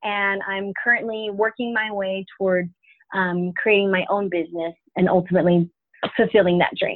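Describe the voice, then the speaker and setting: Using an American accent, a woman speaks at a moderate pace and medium pitch in a monotone, flat way. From Florida, Tallahassee. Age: 20s. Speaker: pastor's daughter and graphic designer. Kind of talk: interview. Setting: phone call.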